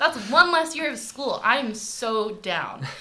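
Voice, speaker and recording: A woman's voice moves in very wide pitch swings over noticeable background noise. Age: 20s. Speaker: accounting grad student. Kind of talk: casual interview chat.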